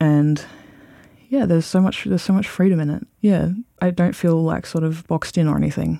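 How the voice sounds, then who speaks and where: Speaking fairly quickly with an Australian accent, a man uses a high voice with ordinary pitch variation. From Australia, Bendigo (Victoria). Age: 20s. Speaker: podcast interviewee. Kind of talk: personal interview. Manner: halting.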